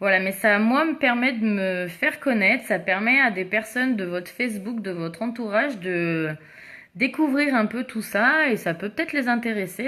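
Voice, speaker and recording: Fairly high-pitched female speech, bright and sharp in tone, at a fairly slow pace. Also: very clean recording, silent background. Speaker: makeup seller livestreamer. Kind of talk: casual livestream chat. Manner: animated.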